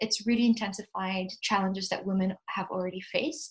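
Somewhat breathy, a woman speaks at a moderate pace in a medium pitch, her intonation fairly even. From Ethiopia, Addis Ababa. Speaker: development officer and consultant. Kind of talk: interview.

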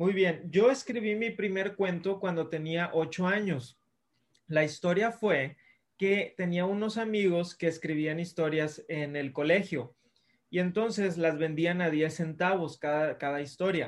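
Fairly slow delivery from a man, high in pitch, with ordinary pitch variation. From Mexico, Monterrey. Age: 30s. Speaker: children's author. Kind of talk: interview. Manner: friendly, casual.

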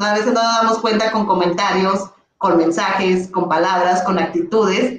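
In a normal speaking voice, a woman of medium pitch talks at a moderate pace with fairly even intonation and very even loudness. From northern Mexico, Ciudad Juárez. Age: 30s. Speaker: primary school teacher and content creator. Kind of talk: casual chat. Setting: live stream.

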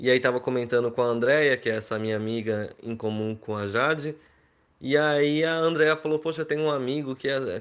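A man talks at a moderate pace in an ordinary speaking voice. His pitch sits in the medium range with ordinary variation. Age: 30s. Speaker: wedding photographer. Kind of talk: interview.

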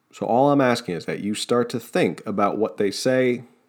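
A man speaks with an American accent in a passionate tone at a moderate pace. The recording is very clean, with a silent background. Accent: New Jersey, comes out when passionate. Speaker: political podcast host. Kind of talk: political commentary monologue. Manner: passionate, sometimes tripping over words.

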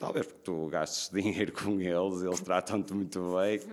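A man talks in a very deep, low voice. His pace is moderate. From northern Portugal, Braga. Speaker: restaurant owner. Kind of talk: casual chat.

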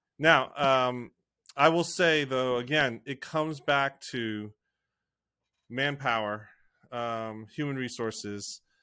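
A man with an American accent speaks at a very slow pace with long, frequent pauses, using a bright, sharp tone at a medium pitch and ordinary pitch variation, in a very clean recording with a silent background. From United States. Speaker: podcast host, church online consultant. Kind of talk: casual interview chat.

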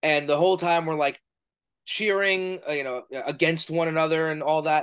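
A man's fairly high voice with a New York accent, ordinary pitch variation and a moderate pace, against a quiet background. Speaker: professional wrestler and podcast host. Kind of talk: casual interview.

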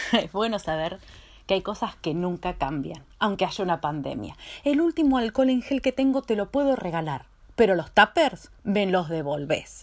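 A woman with a Rioplatense accent speaks at a moderate pace in a medium pitch, her animated tone marked by very wide pitch swings, on a very clean recording with a silent background. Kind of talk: stand-up.

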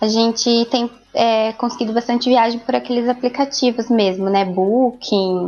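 This woman talks at a fairly slow pace in a fairly high voice, her intonation fairly even and her loudness very even. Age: 20s. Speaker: pedagogy student. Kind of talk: casual interview. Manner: halting.

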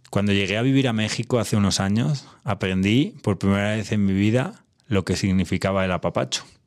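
Over a very clean recording with a silent background, a man with a fairly low pitch talks at a fairly quick pace with ordinary pitch variation. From Spain, Castile. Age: 30s. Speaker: podcast host. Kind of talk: personal monologue.

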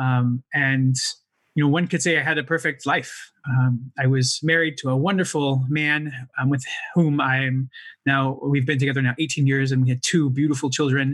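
Fairly high-pitched and monotone, a man with an American accent speaks flatly at a moderate pace. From United States. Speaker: mental wellness impact investor, fund founder. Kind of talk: podcast interview.

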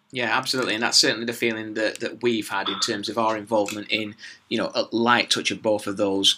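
A man talks very fast at a fairly low pitch in a monotone, flat delivery. Noticeable background noise runs behind him. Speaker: podcast host. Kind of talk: interview.

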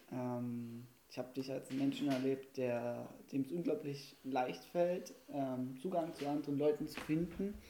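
Speaking at a fairly slow pace, a man uses a normal speaking voice that sits fairly high in pitch and shows ordinary pitch variation. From Saxony, Erzgebirge region, Germany. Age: 20s. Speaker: student teacher. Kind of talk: casual chat. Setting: home kitchen studio.

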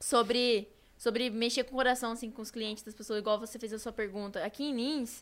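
A woman with an unremarkable speaking voice talks at a fairly quick pace. The recording is very clean, with a silent background. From Brazil, São Paulo state. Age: 20s. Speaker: youtuber. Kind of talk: casual chat.

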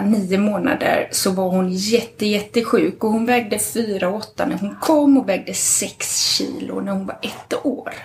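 Speaking at a fairly slow pace, a woman has a plain, everyday voice with a fairly high pitch and ordinary pitch variation. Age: 40s. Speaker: midwife. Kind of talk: casual chat. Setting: at home.

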